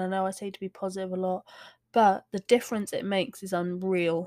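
A woman speaks at a very fast pace. Her tone is dark and mellow. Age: 30s. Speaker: podcast host with fibromyalgia. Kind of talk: casual solo talk. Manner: hesitant, many fillers.

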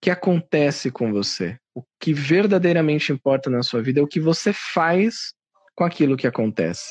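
A man with a fairly high pitch has an ordinary speaking voice and a moderate pace. The sound is dry and close, with no echo. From Brazil, São Paulo. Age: 30s. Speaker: podcast host and radio/TV communicator. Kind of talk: casual chat.

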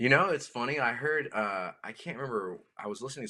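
In a South Carolina accent, a man talks at a fairly quick pace with a bright, sharp tone and ordinary pitch variation. The recording is very clean, with a silent background. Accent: Southern US (South Carolina). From US South, rural South Carolina. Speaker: musician. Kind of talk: casual chat. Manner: halting, repeats words.

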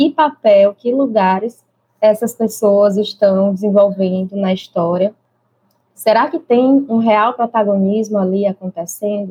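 A woman's somewhat breathy voice unfolds at a fairly slow pace. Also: medium pitch for a woman, ordinary pitch variation. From Brazilian Northeast. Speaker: early childhood teacher. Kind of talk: interview conversation.

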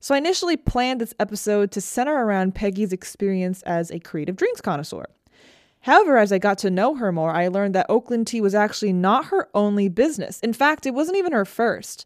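A woman at a medium pitch, speaking at a very fast pace. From Taiwan. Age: 20s. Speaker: podcast host. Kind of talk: scripted narration; casual interview.

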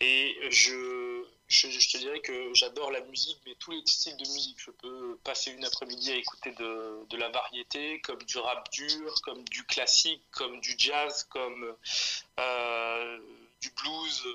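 A man speaks at a very slow pace with big swings in loudness. Noticeable background noise is present. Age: 30s. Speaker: rapper. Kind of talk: interview.

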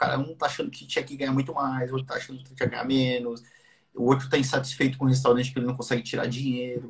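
This man has a medium pitch and a somewhat breathy voice. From Brazil, mixed (Ceará, Santos). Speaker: business podcast host. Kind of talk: casual live business talk. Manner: animated.

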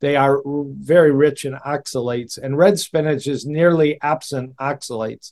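With an American accent, a man in an unremarkable speaking voice talks at a moderate pace with a fairly high pitch and ordinary pitch variation, the sound dry and close with no echo. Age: 60s. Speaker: cardiologist. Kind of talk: interview conversation.

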